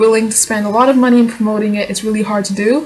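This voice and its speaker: Against noticeable background noise, a woman with a non-native accent talks very fast in a fairly high voice. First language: not English. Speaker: vlogger and aspiring novelist. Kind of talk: casual vlog answering tag questions.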